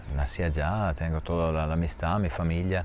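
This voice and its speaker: Speaking at a fairly slow pace, a man with a very deep, low pitch uses ordinary pitch variation. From Italy. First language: Italian (speaking Spanish). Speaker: cheesemaker. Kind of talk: interview. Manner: halting.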